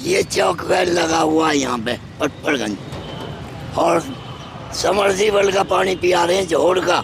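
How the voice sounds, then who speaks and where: A man's high voice with ordinary pitch variation, against noticeable background noise. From Delhi, Patparganj village. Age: 60s. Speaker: local villager, voter. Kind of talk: street interview. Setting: outdoors, village gathering.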